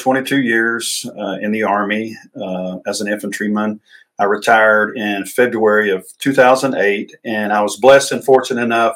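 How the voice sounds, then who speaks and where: A man in a Southern US accent talks at medium pitch and a moderate pace, keeping his intonation fairly even. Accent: Southern US (Georgia). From US South, north Georgia. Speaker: ministry director and retired army veteran. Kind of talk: interview. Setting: studio at an outreach center.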